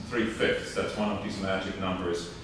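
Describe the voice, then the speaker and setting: A man in a German accent at a moderate pace, with noticeable background noise and audible room echo. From Germany. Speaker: professor. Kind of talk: public forum speech. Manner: loud.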